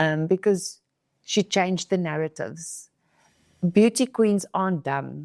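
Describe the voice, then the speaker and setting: A woman with a South African accent at a medium pitch and fairly slow pace, with ordinary pitch variation and long, frequent pauses, the sound dry and close with no echo in a very clean recording with a silent background. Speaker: beauty pageant queen. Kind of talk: podcast interview. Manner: halting.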